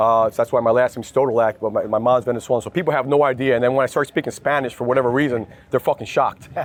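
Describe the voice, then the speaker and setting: A man with a slight New Jersey accent talks very fast at a medium pitch with hardly any pauses, in a dry, close sound with no echo. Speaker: lead generation executive. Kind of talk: interview. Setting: industry event. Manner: energetic.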